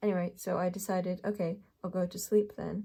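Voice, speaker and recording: A woman speaks fairly slowly at a medium pitch, her voice somewhat breathy with a dark, mellow tone. Her intonation stays monotone and flat. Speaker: tarot card reader. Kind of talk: pick a card reading. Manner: halting, filler-heavy.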